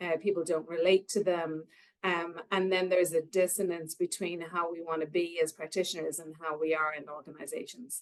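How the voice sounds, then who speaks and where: A woman speaks in a fairly low, flat monotone at a moderate pace. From Ireland, Cork. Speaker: nursing researcher. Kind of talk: conference presentation.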